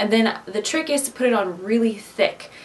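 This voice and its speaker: With a Midwestern accent, a woman speaks at a moderate pace with ordinary pitch variation. Noticeable background noise runs beneath her. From US Midwest. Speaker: DIY craft vlogger. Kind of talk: casual tutorial Q&A to camera. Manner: chatty, conversational.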